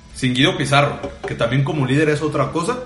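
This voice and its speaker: Audible room echo surrounds a man speaking fairly quickly at a fairly high pitch with fairly even intonation. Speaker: football podcast co-host. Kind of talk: casual football debate.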